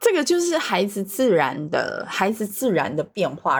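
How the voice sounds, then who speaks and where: In a Taiwanese accent, a woman speaks with lively intonation. The recording is very clean and the background silent. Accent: Taiwanese Mandarin. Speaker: Montessori teacher. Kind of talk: casual conversation.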